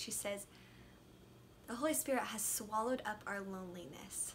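A somewhat breathy woman speaks at a moderate pace over light background noise. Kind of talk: devotional talk. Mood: gentle, reflective. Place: home room. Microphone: phone near.

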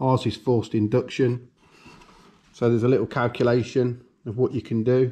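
At a moderate pace, a man speaks in a dark, mellow tone with monotone, flat intonation. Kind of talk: tutorial. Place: workshop. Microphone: camera far.

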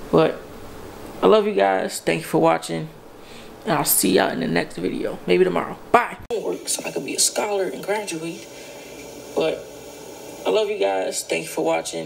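Amid noticeable background noise and audible room echo, a man speaks at a moderate pace. He leaves long, frequent pauses. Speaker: vlogger. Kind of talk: casual vlog talk. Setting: coffee shop.

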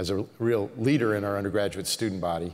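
The voice moves at a moderate pace. Its intonation is fairly even. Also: man. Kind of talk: formal welcome speech. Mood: warm, smiling, light humor. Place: church. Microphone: podium.

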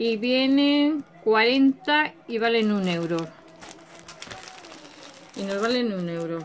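A woman speaks at a slow pace. Her pitch is fairly high. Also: ordinary pitch variation.

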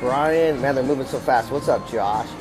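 A man speaks at a moderate pace with fairly even intonation. Clear music plays in the background. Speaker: casino live streamer. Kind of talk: casual live stream chat. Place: hall. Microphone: phone near.

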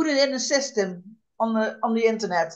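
A moderate pace, a Dutch accent and a quiet background. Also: woman. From Netherlands. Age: 60s. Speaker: unemployed jobseeker; interviewee. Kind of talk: interview; interview answer. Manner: halting. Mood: calm, reflective. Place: home room. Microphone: video call.

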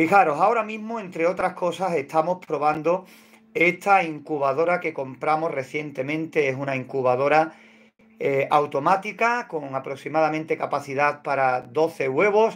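At a moderate pace, a man talks with ordinary pitch variation. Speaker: hobby poultry incubation channel host. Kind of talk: casual livestream tutorial chat. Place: home room. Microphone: phone near.

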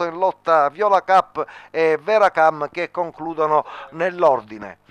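The speaker is a man whose voice sits at a high pitch. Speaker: horse race commentator. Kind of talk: live race commentary. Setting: racetrack commentary booth.

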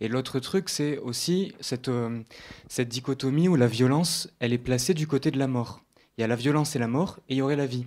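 On a very clean recording with a silent background, a man with a normal speaking voice talks at a fairly quick pace, medium pitch and ordinary pitch variation. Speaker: audience member. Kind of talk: audience question. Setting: stage with audience.

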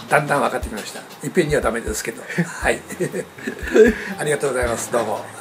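Delivered at a very fast pace with ordinary pitch variation, the speech sits over noticeable background noise. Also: man. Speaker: hot spring business consultant. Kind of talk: interview answer. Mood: cheerful, smiling. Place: meeting room. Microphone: webcam.

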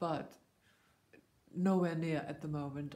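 At a moderate pace, a woman speaks in a very deep, low voice with a dark, mellow tone and fairly even intonation. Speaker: vlogger. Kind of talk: vlog monologue. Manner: halting. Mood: earnest, informative. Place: home room. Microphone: phone near.

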